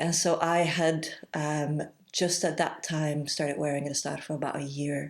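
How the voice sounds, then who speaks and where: In a very clean recording with a silent background, a woman with a Belgian accent speaks at a moderate pace, her pitch very deep and low, her intonation flat and monotone, with vocal fry. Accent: Belgian accent, often mistaken for Canadian. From Belgium. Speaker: yoga teacher and holistic therapist. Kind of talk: interview.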